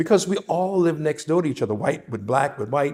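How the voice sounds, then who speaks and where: This man speaks with a New Orleans accent. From New Orleans, Seventh Ward. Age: 70s. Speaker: interviewee sharing memories. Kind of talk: oral history interview.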